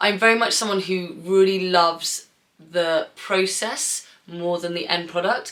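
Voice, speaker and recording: In a southern English accent, a woman speaks at a fairly slow pace and medium pitch with an animated tone. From England, Bath. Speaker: artist. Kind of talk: casual Q&A vlog. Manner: chatty, animated.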